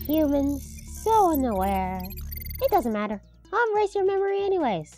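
Clear music plays in the background as a high-pitched, cartoonish character voice speaks at a moderate pace. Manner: formal, stiff, matter-of-fact.

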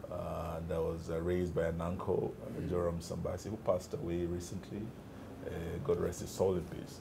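A man is heard with noticeable background noise. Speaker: interview guest. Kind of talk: interview answer. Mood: relaxed, reminiscing. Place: office. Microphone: lapel.

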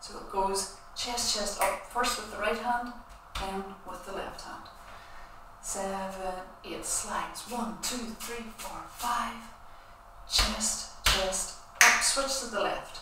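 With long, frequent pauses, a woman talks at a very slow pace amid noticeable background noise and audible room echo. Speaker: dance teacher. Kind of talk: online dance class tutorial. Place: empty room. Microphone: camera far.

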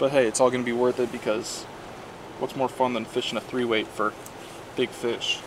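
A man talks at a fairly quick pace with monotone, flat intonation. The sound is dry with no echo, and there is noticeable background noise. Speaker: angler vlogger. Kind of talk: casual vlog chat. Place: waterside. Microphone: phone near.

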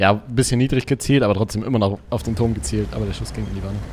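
A man's very fast speech at fairly low pitch, with ordinary pitch variation over light background noise. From Germany. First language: German. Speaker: gaming streamer; game streamer. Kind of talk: casual gameplay chat. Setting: online voice chat. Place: home room. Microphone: studio mic.

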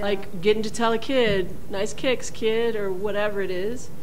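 Light background noise sits behind a woman's voice. Her pitch is fairly high and her pace moderate. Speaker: school dean, former cyclist. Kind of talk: casual interview answers. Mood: warm, upbeat. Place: office. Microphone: studio mic.

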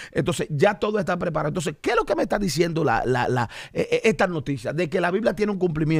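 A man's high-pitched, very fast, animated delivery with lively intonation, a quiet background and dry sound with no echo. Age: 40s. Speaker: pastor and podcast host; pastor, podcast host. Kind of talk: religious podcast discussion. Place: studio. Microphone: studio mic.

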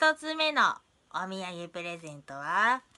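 A woman speaks at a very slow pace in a raised, projected voice, her pitch swinging very widely against a quiet background. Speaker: vlogger. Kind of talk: casual vlog chat. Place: home room. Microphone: phone near.

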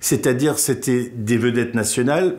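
Pitch varies in an ordinary way for this man. He talks at a moderate pace. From Alsace, France (Wolfisheim near Strasbourg); Alsace, France. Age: 50s. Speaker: comedian and radio/TV columnist; interviewee, comedian. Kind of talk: interview testimony; interview answer. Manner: hesitant, with fillers. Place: studio. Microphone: lapel.

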